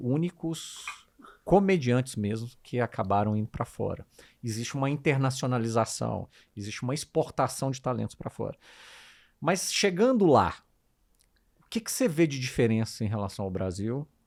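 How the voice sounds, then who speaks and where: At a moderate pace and medium pitch, a man talks with lively intonation broken by long, frequent pauses. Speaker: podcast co-host. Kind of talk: casual interview chat.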